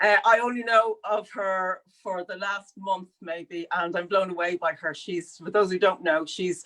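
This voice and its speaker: A woman with an Irish accent has a bright, sharp tone. She speaks at a moderate pace with hardly any pauses. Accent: clearly Irish. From Dublin, Ireland. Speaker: sculptor. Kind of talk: live conversation. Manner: animated, some stammering.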